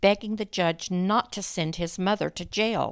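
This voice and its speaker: In a very clean recording with a silent background and dry, close sound with no echo, a woman speaks in a dramatic tone at a fairly slow pace. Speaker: true crime podcast host. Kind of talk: scripted true-crime narration. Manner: grave, measured storytelling; dramatic, hushed tension; formal, clear, steady.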